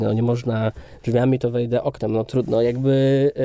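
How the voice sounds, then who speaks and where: This man holds a medium pitch in a monotone, flat intonation, speaking at a moderate tempo. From Kędzierzyn-Koźle, Silesia, Poland. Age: 30s. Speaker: film director. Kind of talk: interview conversation.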